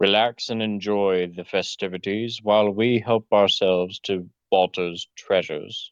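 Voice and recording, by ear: A man uses a booming, put-on character voice pitched fairly low. His pace is moderate and his intonation fairly even.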